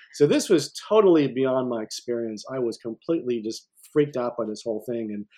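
A man with a plain, everyday voice and an American accent talks at a fairly quick pace, at medium pitch with ordinary pitch variation. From upstate New York. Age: 50s. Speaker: music theory professor. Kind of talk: interview.

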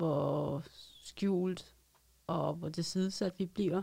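The woman's voice sits at a fairly low pitch. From Denmark, Roskilde. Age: 30s. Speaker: street newspaper vendor, former psychiatric patient. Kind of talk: studio interview, personal testimony. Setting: studio.

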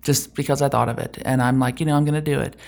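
On a very clean recording with a silent background, a woman is speaking. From Germany (US military family). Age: 50s. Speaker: tech executive. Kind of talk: interview.

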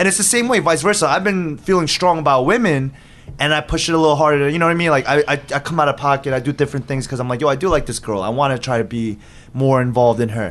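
Pitched fairly high for a man, he speaks at a very fast pace. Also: lively intonation. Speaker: podcast guest. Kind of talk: casual chat. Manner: loud.

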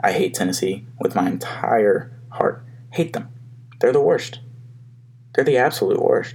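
A man at a fairly slow pace with long, frequent pauses, over noticeable background noise. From Alabama, Huntsville. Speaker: podcast host. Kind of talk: solo casual monologue. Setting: home office.

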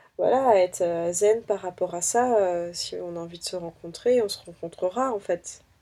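Over a silent background in a very clean recording, a woman with a dark, mellow tone speaks at a moderate pace with fairly even intonation. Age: 20s. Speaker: dating app user. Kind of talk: testimony. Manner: halting.

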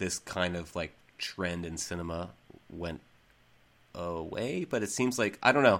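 With an American accent and a very deep, low pitch, a man speaks at a fairly slow pace with ordinary pitch variation and long, frequent pauses on a very clean recording with a silent background. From Central Massachusetts. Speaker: basketball podcast host. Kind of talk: casual chat.

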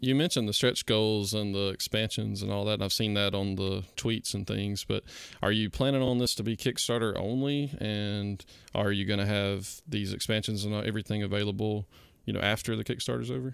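A man talks at a fairly quick pace with a Georgia accent. His pitch sits fairly low, with ordinary variation. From South Georgia, US. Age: 30s. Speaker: podcast host. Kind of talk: announcements; casual chat.

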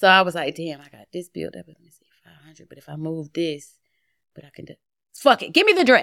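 With an animated tone, a woman talks at a fairly quick pace, her loudness swinging widely. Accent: American. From Atlanta, Georgia, with Philadelphia roots. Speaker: private chef and TV cook. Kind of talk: casual chat.

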